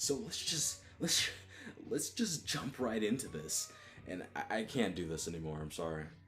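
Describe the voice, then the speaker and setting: With music in the background, a man of medium pitch speaks at a moderate pace, his pitch swinging very widely. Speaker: manga review youtuber. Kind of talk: casual video review. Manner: hesitant, repeats words.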